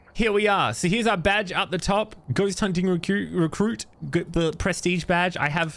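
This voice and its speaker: In an Australian accent, this voice moves at a moderate pace with ordinary pitch variation and very even loudness. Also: man, high pitch for a man. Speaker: horror game streamer. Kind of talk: gameplay commentary.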